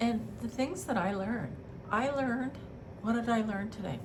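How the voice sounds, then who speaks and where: A woman talks at a moderate pace. Room echo is audible, and background noise is noticeable. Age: 60s. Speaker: beauty vlogger. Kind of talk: casual chat.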